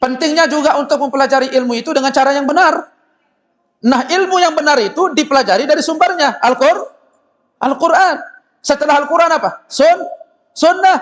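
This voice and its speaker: An extremely high-pitched male voice, animated and fairly quick, with ordinary pitch variation and very even loudness. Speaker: Islamic preacher. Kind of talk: sermon. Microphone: loud microphone, briefly cutting out.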